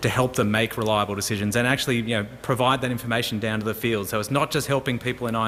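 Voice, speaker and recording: Over noticeable background noise, a man with an Australian accent talks at a very fast pace with fairly even intonation. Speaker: emergency services technology manager. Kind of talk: conference presentation.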